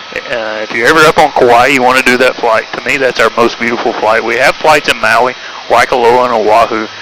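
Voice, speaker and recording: Talking at a fairly quick pace with fairly even intonation, a man with a Tennessee accent comes through noticeable background noise. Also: medium pitch for a man. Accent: Southern US (Tennessee). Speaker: helicopter tour pilot. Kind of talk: tour guide narration. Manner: casual, chatty.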